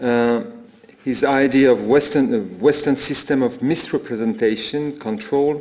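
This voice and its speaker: Over noticeable background noise, a man speaks with a French accent. His pitch is fairly high, his intonation lively and his pace fairly slow. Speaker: art historian. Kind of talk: lecture. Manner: halting.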